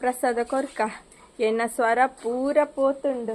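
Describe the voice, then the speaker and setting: A woman with a high voice and fairly even intonation speaks over noticeable background noise. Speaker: vlogger. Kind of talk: casual vlog.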